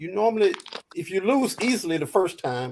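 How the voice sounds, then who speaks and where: A man keeps to a moderate pace as his pitch rises and falls across a very wide range. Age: 60s. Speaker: boxing panelist. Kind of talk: casual panel debate.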